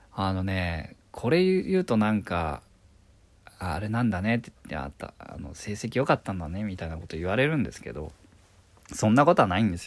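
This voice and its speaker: This man has a normal speaking voice with a fairly low pitch and lively intonation. He talks at a moderate pace with big swings in loudness. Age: 30s. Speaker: stage actor and voice actor. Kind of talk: solo podcast monologue.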